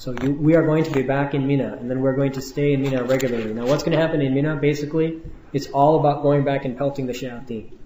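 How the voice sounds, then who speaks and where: A man talks at a very fast pace in a monotone, flat intonation. The audio carries audible room echo. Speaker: Hajj group religious teacher. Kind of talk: instructional lecture. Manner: casual, laid back.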